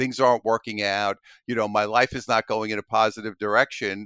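A man with a strong New York accent has a bright, sharp tone. The recording is very clean and silent behind him, dry and close with no echo. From Brooklyn, New York. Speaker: author and coach. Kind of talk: casual interview.

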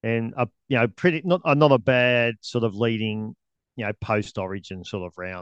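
With an Australian accent, a man speaks at a fairly quick pace. The background is quiet. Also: dry, close sound with no echo. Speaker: podcast co-host. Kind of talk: casual chat about sport.

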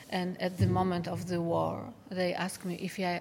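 At a moderate pace, a woman speaks with a Polish accent. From Poland. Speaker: tunnelling engineer. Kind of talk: interview. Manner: halting.

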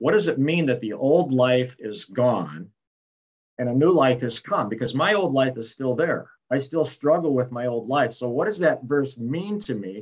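Featuring an unremarkable speaking voice, a man of medium pitch talks at a fairly slow pace with lively intonation. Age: 60s. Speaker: retired pastor and author. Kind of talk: interview, reflective testimony.

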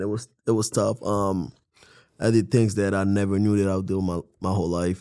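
A man's fairly low voice with a dark, mellow tone, moving at a fairly quick pace. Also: quiet background. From Haiti. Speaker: podcast co-host. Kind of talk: casual chat.

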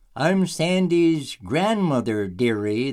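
A man puts on a character voice. It is fairly high-pitched and delivered at a very slow pace. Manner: mocking, condescending.

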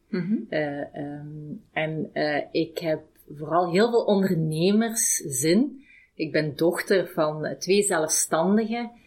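At a very slow pace, a woman speaks with a somewhat breathy, fairly low voice. Her intonation is lively. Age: 40s. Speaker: HR director. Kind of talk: interview. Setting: company office. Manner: halting.

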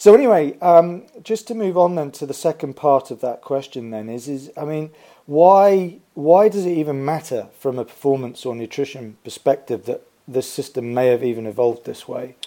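A dark, mellow tone at a moderate pace, with lively intonation and big swings in loudness. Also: man, fairly high pitch for a man. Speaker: podcast host and sports nutrition educator. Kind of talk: podcast interview.

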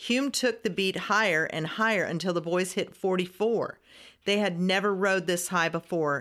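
Plain reading aloud with ordinary pitch variation

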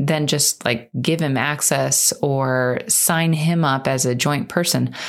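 A woman speaks at a very slow pace. Her pitch is very deep and low. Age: 30s. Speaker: podcast host and financial coach. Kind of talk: casual monologue. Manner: unscripted, conversational.

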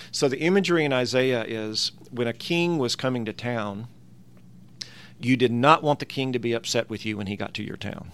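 With a Southern US accent, the speaker talks at a moderate pace with ordinary pitch variation. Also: man, medium pitch for a man. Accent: Southern American. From US South, Tennessee. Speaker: New Testament professor. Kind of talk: interview, explaining Bible passages.

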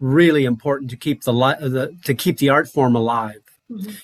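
In an American accent, a man with a fairly high pitch and a plain, everyday voice talks at a moderate pace, and the sound is dry and close with no echo. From Wyoming, US. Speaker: conductor and clarinetist. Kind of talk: interview.

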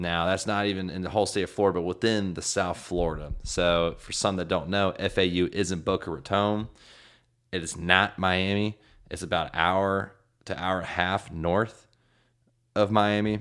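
A man's very deep, low voice at a moderate pace, flat and monotone, in a very clean recording with a silent background. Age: 20s. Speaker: sports podcast host. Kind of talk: solo sports preview monologue. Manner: casual, conversational.

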